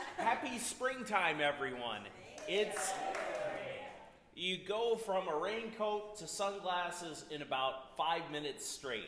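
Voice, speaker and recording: Loud and high-pitched, a man speaks very slowly with lively intonation, with audible room echo and noticeable background noise. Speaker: storyteller at a community music event. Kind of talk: humorous storytelling to an audience.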